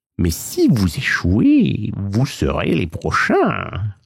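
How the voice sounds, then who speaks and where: In a put-on character voice, a man drawls and hisses at a fairly slow pace on a very clean recording with a silent background. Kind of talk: bedtime story. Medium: read story. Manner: hissing, mocking, drawling.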